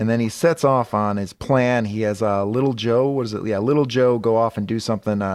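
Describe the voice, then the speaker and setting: Talking at a fairly quick pace, a man uses a medium pitch with ordinary pitch variation. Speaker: comic book podcast co-host. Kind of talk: casual comedic chat. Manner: projecting, radio-announcer delivery; animated.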